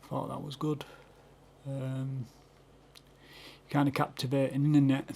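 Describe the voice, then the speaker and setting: A man speaks slowly-ish in a fairly high, somewhat breathy voice with a dark, mellow tone and monotone, flat intonation. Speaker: YouTube reaction video maker. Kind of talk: casual reaction commentary. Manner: hesitant, many fillers.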